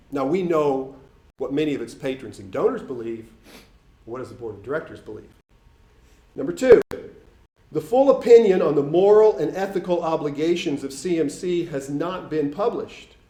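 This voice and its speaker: Against noticeable background noise, the speaker uses an American accent at a moderate pace, with long, frequent pauses, very wide pitch swings and big swings in loudness. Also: man, fairly high pitch for a man. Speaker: canon law consultant. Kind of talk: public speech. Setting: forum with audience. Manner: formal.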